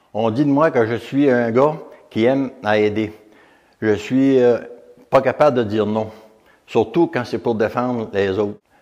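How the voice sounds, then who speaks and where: A man's medium-pitched voice with a Quebec accent, at a fairly slow pace with ordinary pitch variation and long, frequent pauses. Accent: rural Quebec French. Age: 70s. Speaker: retired volunteer and former mayor. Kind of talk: testimony. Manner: halting.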